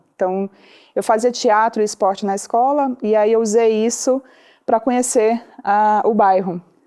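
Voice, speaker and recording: A woman speaks at a fairly slow pace in a Ceará accent, her fairly high voice dark and mellow, with very even loudness and fairly even intonation. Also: quiet background. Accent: drawn-out Ceará. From Brazil, Ceará interior. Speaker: social entrepreneur. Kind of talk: podcast interview.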